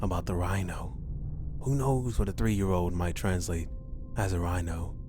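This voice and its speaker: Over music in the background, a man speaks in a calm tone with very wide pitch swings. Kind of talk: horror story narration read aloud. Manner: calm, reassuring.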